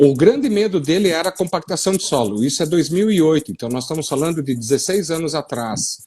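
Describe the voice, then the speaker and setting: With a southern Brazilian accent, a man speaks fairly quickly in a dark, mellow tone at a fairly high pitch, his intonation lively and his speech with hardly any pauses. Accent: gaúcho. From western Paraná, Brazil (gaúcho colony). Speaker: soil science professor. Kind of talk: live-stream discussion. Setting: online live stream.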